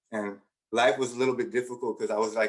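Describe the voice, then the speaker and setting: This is a man speaking. He has a Spanish accent. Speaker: education professor. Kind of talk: conference talk. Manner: conversational, many fillers.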